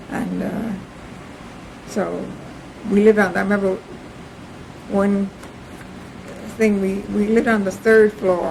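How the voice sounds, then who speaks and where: Noticeable background noise behind a woman's medium pitch, monotone and flat intonation, fairly slow pace and long, frequent pauses. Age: 90s. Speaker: interviewee, family elder. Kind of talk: oral history interview. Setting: at home, videotaped. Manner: halting.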